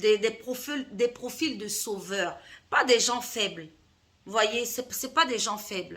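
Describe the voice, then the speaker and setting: Her voice fairly high and bright with a sharp tone, a woman speaks at a very slow pace. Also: ordinary pitch variation. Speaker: life coach. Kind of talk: vlog monologue. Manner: hesitant, with fillers.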